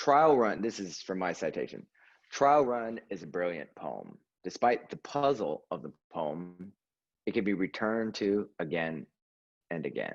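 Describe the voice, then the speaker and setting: This man has a normal speaking voice. He talks at a fairly slow pace with lively intonation. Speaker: poet, event host. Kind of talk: introducing a poet at a reading. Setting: video call.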